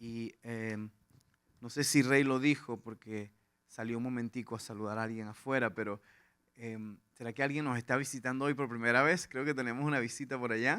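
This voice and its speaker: In a very clean recording with a silent background, a man with a slight Venezuelan accent speaks at a moderate pace in a medium pitch, his tone bright and sharp and his intonation fairly even. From Venezuela, Lara/Portuguesa plains. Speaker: pastor. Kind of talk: sermon. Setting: church with congregation.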